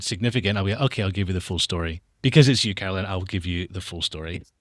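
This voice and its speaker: Speaking at a very fast pace, a man with an American accent uses lively intonation. The recording is very clean, with a silent background. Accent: soft Scottish lilt, international. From international upbringing (Australia, Dubai, US). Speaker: documentary filmmaker. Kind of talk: interview conversation.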